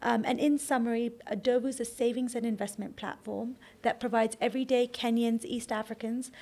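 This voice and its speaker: With vocal fry and monotone, flat intonation, a woman speaks at a moderate pace and a fairly high pitch. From Kenya. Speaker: startup founder and CEO. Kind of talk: interview.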